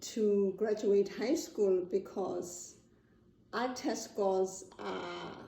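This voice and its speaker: Speaking at a very slow pace with a South African accent, a woman uses a medium pitch and ordinary pitch variation. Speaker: interviewee, parent. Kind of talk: interview.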